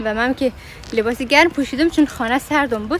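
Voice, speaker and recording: Noticeable noise runs in the background. Over it, a woman speaks fairly quickly, her pitch varying in an ordinary way. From Afghanistan. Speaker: travel vlogger. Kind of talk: vlog, casual walk-and-talk. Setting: outdoors in a park. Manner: fast.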